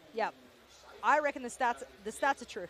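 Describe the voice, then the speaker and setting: In an Australian accent, the speaker sounds animated, with lively intonation. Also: woman. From Asia-Pacific. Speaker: esports commentator. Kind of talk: live commentary; casual chat.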